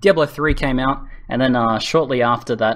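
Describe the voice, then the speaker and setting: An Australian-accented man at medium pitch, bright and sharp in tone, fairly quick in pace, with ordinary pitch variation, in a very clean recording with a silent background. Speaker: gaming YouTuber. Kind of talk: interview Q&A. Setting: voice chat server.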